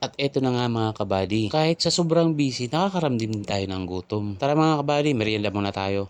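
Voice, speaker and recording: Lively intonation carries this voice at a fairly quick pace with hardly any pauses. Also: man, medium pitch for a man. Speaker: delivery rider vlogger. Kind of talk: vlog narration. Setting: outdoors on the road.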